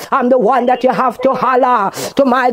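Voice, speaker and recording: A woman speaks in a high-pitched voice. Noticeable background noise runs underneath. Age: old. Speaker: pastor; prayer minister. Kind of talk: prayer; fervent spoken prayer. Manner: fervent, repetitive. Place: garden.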